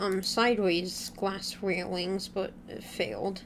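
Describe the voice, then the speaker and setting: A woman speaks very slowly, her voice full of vocal fry. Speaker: gaming YouTuber. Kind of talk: casual gaming chat.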